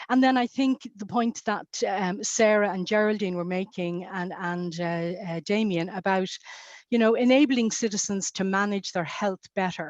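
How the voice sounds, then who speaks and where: A woman with an Irish accent talks at a moderate pace in a medium pitch. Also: ordinary pitch variation. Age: 60s. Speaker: health policy panelist. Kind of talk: webinar panel discussion. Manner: halting, many fillers.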